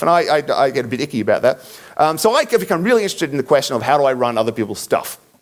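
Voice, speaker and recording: A man talks at a very fast pace in an Australian accent. His pitch swings very widely. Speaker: conference speaker. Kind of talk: conference talk. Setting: stage with audience. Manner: hesitant, many fillers.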